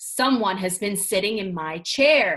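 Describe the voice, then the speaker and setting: A woman puts on a growling character voice at a medium pitch. She speaks at a fairly slow pace. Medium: read story.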